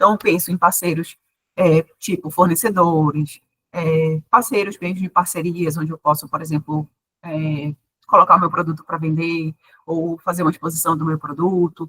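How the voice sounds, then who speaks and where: Her tone is bright and sharp. This woman's fairly low voice keeps a fairly even intonation. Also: moderate pace, dry, close sound with no echo. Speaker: university professor, business mentor. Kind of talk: online workshop lecture.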